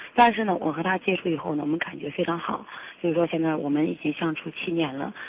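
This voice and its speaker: There is noticeable background noise behind speech with ordinary pitch variation. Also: woman. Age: 30s. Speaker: caller. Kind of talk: call-in advice confession. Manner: halting.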